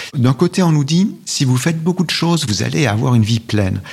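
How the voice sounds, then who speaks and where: A man's lively intonation stands out against noticeable background noise. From Switzerland, Valais (Val d'Hérens). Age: 50s. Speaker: essayist and author. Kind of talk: interview. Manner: halting.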